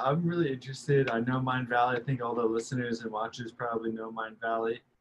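A man rattles along at a very fast pace with hardly any pauses. His voice sits at a medium pitch and sounds somewhat breathy. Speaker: business coach for coaches. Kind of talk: interview conversation.

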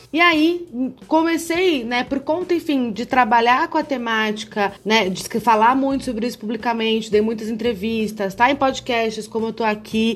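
A woman with a plain, everyday voice, fairly high in pitch, with lively intonation, at a moderate pace with hardly any pauses. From interior of São Paulo state, Brazil (Campinas). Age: 30s. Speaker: lawyer and gender equity consultant. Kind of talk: podcast interview.

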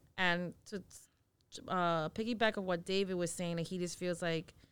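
An ordinary speaking voice at a fairly slow pace, on a very clean recording with a silent background. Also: woman. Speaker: podcast co-host. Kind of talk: casual chat. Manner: laughs often.

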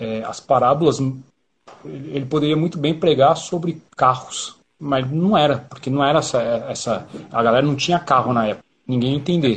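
A man's somewhat breathy, fairly high voice at a moderate pace, with ordinary pitch variation. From São Paulo, Brazil (south zone). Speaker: band drummer. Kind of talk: casual interview chat. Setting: online live stream.

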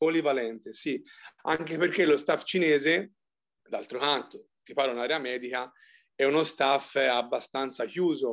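Speaking at a fairly slow pace with long, frequent pauses, a man with a fairly high voice keeps his intonation fairly even while his loudness swings widely. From Tuscany, province of Arezzo. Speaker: physiotherapist. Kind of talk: interview.

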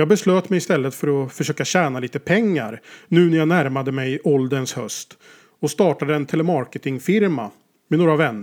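A man's normal speaking voice, fairly high in pitch, at a moderate pace with ordinary pitch variation. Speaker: author. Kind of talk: scripted narration.

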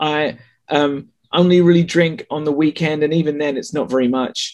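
A man speaks with a slight English accent and fairly even intonation. His pitch is fairly high. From England. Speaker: sex writer and author. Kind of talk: casual interview chat.

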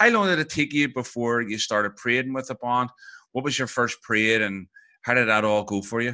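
A man with a Northern Irish accent speaks at a fairly quick pace and medium pitch. His tone is bright and sharp, with ordinary pitch variation. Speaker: podcast host. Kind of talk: interview.

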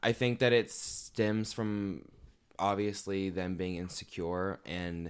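On a very clean recording with a silent background, a man with an American accent uses an unremarkable speaking voice, fairly low in pitch, with fairly even intonation. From Evansville, Indiana. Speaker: graphic designer. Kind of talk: interview.

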